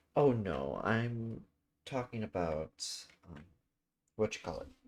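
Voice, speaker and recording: Soft-spoken man, fairly low in pitch, very slow, with very wide pitch swings. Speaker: gaming streamer. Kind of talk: casual chat.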